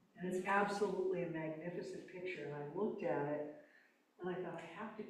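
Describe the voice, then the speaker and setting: Noticeable background noise and audible room echo surround a woman whose fairly low voice keeps fairly even intonation. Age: 80s+. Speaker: minister. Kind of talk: sermon. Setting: church with congregation. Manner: conversational, off the cuff.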